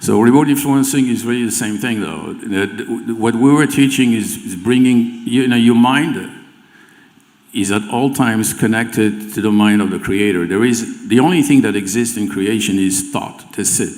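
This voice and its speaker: A man at medium pitch with a French accent, moderate pace and ordinary pitch variation, amid audible room echo. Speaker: remote viewing teacher. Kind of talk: live panel discussion. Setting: stage with audience. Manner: halting, repeats words.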